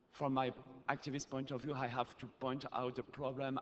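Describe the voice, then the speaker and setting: A man of medium pitch with a French accent. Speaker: activist, audience questioner. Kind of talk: audience question at conference. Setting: conference hall, audience microphone. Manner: halting, many fillers.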